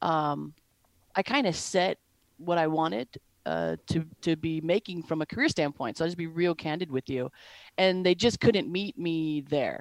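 An unremarkable speaking voice with an American accent, ordinary pitch variation and a moderate pace, in a very clean recording, dry and close with no echo and a silent background. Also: woman, fairly low pitch for a woman. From Wisconsin. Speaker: sales enablement professional. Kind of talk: interview.

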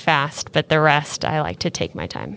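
Very deep and low in pitch, a woman speaks at a moderate pace with vocal fry and a bright, sharp tone, in a very clean recording with a silent background. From Southern California. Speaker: ballet dancer. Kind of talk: interview.

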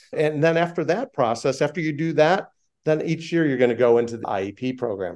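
This man has an unremarkable speaking voice, fairly high in pitch. He talks at a fairly quick pace with lively intonation. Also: quiet background. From Chicago. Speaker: aviation safety organization founder and airline pilot. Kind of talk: interview conversation.

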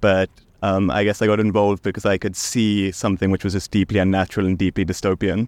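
In a dry, close sound with no echo, a man talks very fast at a fairly low pitch with monotone, flat intonation. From South Africa. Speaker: activist. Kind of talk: interview.

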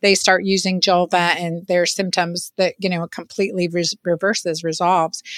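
A woman speaks at a moderate pace with hardly any pauses, her fairly low voice monotone and flat. The recording is very clean and silent behind her, dry and close with no echo. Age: 50s. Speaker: physician. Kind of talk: interview.

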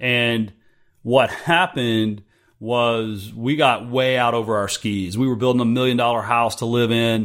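A man talks at a fairly slow pace. He has a normal speaking voice at a medium pitch. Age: 40s. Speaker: podcast host and entrepreneur. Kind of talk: solo monologue.

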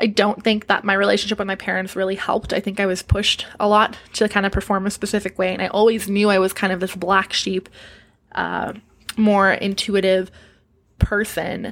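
A woman speaks fairly quickly in a monotone, flat intonation. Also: medium pitch for a woman. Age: 20s. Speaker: podcast host and stripper. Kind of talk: casual solo podcast Q&A.

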